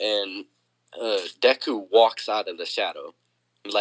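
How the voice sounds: A natural reading voice comes through with a quiet background behind it.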